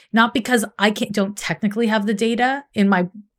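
A woman's fairly high-pitched voice on a very clean recording with a silent background. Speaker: astrologer. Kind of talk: casual interview chat. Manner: animated, talkative.

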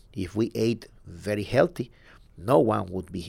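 In a very clean recording with a silent background, a man with a Spanish accent talks fairly slowly in a fairly low pitch with ordinary pitch variation. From southern Mexico. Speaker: medical researcher. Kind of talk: interview.

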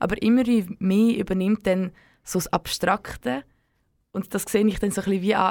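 The recording is very clean, and the background is silent. A woman talks at a moderate tempo. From Switzerland, German-speaking, Serbian heritage. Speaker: community radio co-host. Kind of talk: late-night radio chat. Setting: dark radio studio.

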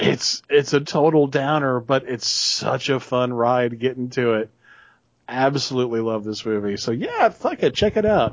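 Speaking in a Southern US accent, this man has a medium pitch and ordinary pitch variation. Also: moderate pace. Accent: Southern American. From US South. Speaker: podcast co-host. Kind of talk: casual chat.

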